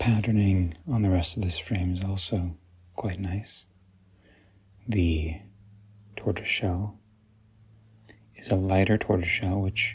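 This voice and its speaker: A soft-spoken, somewhat breathy man's voice in a calm tone, with fairly even intonation, a fairly slow pace and long, frequent pauses. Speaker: optical professional, eyewear dispenser. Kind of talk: ASMR product walkthrough, soft-spoken. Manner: soft-spoken, calm.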